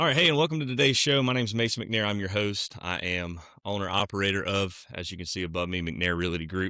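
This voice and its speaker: With a Southern US accent, a man talks at a fairly quick pace. His voice is fairly low in pitch, with a bright, sharp tone. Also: very clean recording, silent background. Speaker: podcast host, realtor. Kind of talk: casual interview chat.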